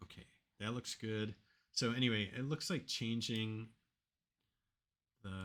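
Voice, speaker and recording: A man speaks at a fairly slow pace with a fairly low pitch. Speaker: proteomics software tutorial maker. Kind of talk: screen-recorded software tutorial. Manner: casual, thinking aloud with fillers. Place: home room. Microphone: webcam.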